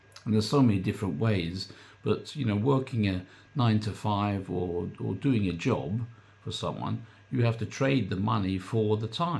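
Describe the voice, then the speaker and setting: A man with a fairly low pitch speaks with vocal fry. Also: ordinary pitch variation, moderate pace. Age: 60s. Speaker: online business coach. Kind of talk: casual vlog talk. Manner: hesitant, filler-heavy.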